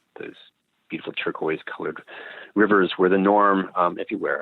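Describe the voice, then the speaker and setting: At a fairly quick pace, a man talks with a slight Canadian accent. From Canada, Calgary. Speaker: naturopath and microbiota researcher. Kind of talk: interview. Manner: hesitant, many ums.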